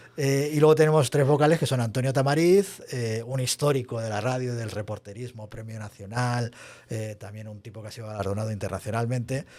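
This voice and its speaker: The speaker uses ordinary pitch variation at a moderate pace. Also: man. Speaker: podcast host and association treasurer. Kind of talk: casual chat.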